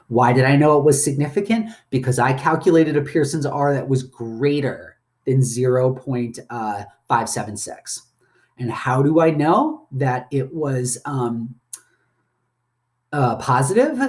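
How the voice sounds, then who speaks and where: A man speaks at a fairly slow pace. His voice is fairly high-pitched and somewhat breathy. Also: ordinary pitch variation. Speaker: statistics lecturer. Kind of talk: recorded lecture.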